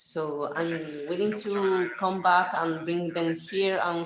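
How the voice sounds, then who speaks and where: Very slowly and in a flat monotone, a woman with a Spanish accent talks at a fairly low pitch, with audible room echo. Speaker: livestreamer. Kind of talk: casual chat. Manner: halting.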